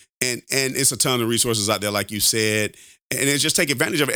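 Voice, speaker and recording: Very fast and animated, a man's medium-pitched voice has a bright, sharp tone in a very clean recording with a silent background. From Alabama. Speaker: podcast host. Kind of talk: casual chat.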